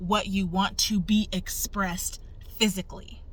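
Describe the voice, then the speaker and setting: With audible room echo, a woman speaks very slowly at a medium pitch. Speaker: human design coach. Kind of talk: tutorial. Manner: casual.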